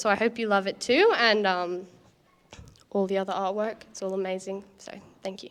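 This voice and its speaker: At a moderate pace, a woman with an Australian accent speaks at medium pitch in a monotone, flat intonation. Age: young. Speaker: young artist. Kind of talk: speech to an audience. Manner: halting.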